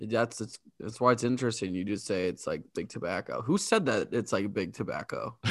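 In a plain, everyday voice of medium pitch, a man speaks fairly quickly with hardly any pauses and ordinary pitch variation. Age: 20s. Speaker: podcast co-host. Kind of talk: casual chat.

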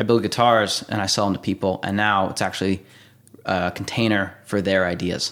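With an American accent, the speaker moves at a fairly quick pace in a flat, monotone intonation. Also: man, fairly low pitch for a man. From Indiana, US Midwest. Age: 20s. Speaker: guitar builder. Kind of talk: casual interview. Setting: workshop.

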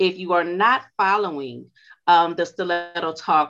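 Her voice has a bright, sharp tone and a fairly low pitch. The woman speaks in a Louisiana accent. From US South, Louisiana. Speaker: podcast host. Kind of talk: interview.

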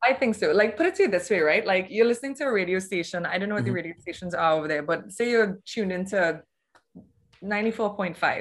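The speaker talks at a very fast pace. Pitch variation is ordinary. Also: woman, medium pitch for a woman. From Trinidad and Tobago. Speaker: psychedelic integration coach. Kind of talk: casual interview.

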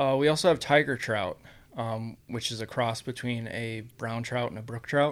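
A man with an American accent talks in a normal speaking voice at a moderate pace, with ordinary pitch variation and big swings in loudness. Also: medium pitch for a man. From Iowa, US Midwest. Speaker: fish hatchery worker. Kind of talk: casual chat.

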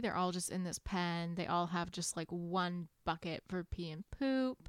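Here is a woman with an unremarkable speaking voice, fairly low in pitch, with ordinary pitch variation at a fairly slow pace. The recording is very clean with a silent background and a dry, close sound with no echo. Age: 20s. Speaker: book podcast co-host. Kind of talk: casual chat.

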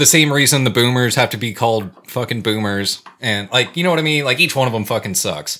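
This man has a plain, everyday voice with an American accent and a medium pitch. He talks at a fairly quick pace with lively intonation. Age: 30s. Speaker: podcast co-host. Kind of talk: casual chat.

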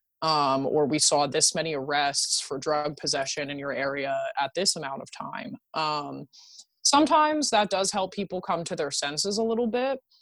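At a moderate pace, the speaker uses lively intonation with an American accent. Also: woman, very deep, low pitch for a woman. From rural Pennsylvania. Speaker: harm reduction activist. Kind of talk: interview.

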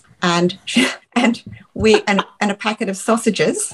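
A woman's somewhat breathy voice with an Australian accent, dry and close with no echo. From England, Dorset. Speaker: retired lawyer, parent. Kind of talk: casual interview.

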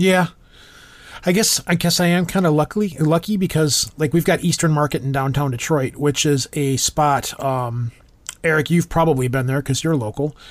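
Talking with a Midwestern accent, a man keeps very even loudness at a moderate pace, his fairly high pitch showing ordinary variation. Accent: general American, Midwestern. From Michigan. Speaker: podcast host. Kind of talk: casual chat.

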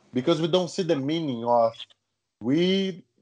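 A man in a Brazilian accent, fairly high pitch, lively intonation and fairly slow pace. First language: Portuguese. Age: young. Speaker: jiu-jitsu world champion. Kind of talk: casual interview conversation.

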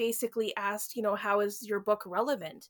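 A woman talks at a moderate pace in a plain, everyday voice with a fairly high pitch. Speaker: book reviewer. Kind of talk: casual chat.

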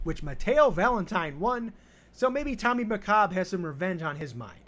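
Man with an American accent at a moderate pace. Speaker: podcast host. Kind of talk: podcast hosting and interview.

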